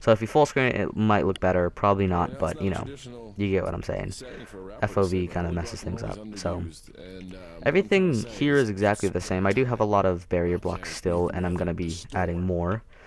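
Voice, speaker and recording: A man talks at a fairly quick pace in a very deep, low pitch with ordinary pitch variation, over noticeable background noise. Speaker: Minecraft builder YouTuber. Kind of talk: casual gameplay commentary. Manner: fast; casual, filler-heavy.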